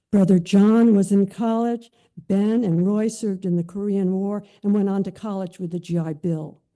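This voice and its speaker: A woman's dark, mellow tone at medium pitch, with an American accent, ordinary pitch variation, a moderate pace and a quiet background. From California, San Mateo area. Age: 80s. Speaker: internment camp survivor sharing memoir. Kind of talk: reading aloud a written memoir.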